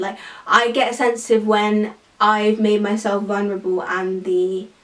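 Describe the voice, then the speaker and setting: A woman's voice over noticeable background noise. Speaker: YouTuber. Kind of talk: casual chat. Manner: animated.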